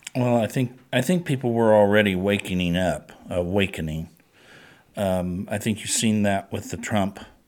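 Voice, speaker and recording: A man speaks in an ordinary speaking voice at a fairly low pitch. His pitch varies in an ordinary way, and his pace is moderate. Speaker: legislator. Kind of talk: roundtable discussion.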